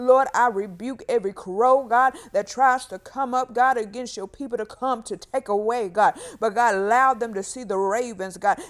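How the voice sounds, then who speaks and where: A woman speaks at a moderate pace with hardly any pauses, in a warm, passionate tone. Her fairly high voice shows ordinary pitch variation and big swings in loudness. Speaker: prayer podcaster. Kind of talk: fervent prayer, repetitive intercessory prayer. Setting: home recording, solo. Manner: earnest, passionate, urgent; warm, encouraging, casual.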